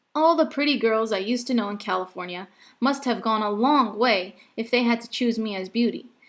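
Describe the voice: Someone's plain reading aloud.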